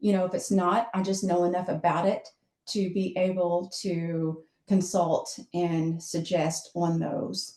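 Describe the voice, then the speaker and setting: A woman's dark, mellow, somewhat breathy voice, fairly low in pitch, with fairly even intonation at a very slow pace. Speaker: social media manager. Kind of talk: webinar presentation.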